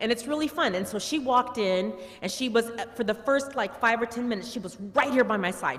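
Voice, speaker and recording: A woman's fairly high voice at a fairly quick pace, with ordinary pitch variation and noticeable background noise. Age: 60s. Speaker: family member giving eulogy. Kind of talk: eulogy. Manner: conversational.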